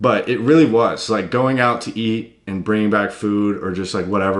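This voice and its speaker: Audible room echo surrounds a man with an American accent. He speaks at a moderate pace with fairly even intonation. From US South, Tennessee. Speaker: fitness YouTuber. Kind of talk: casual vlog talk.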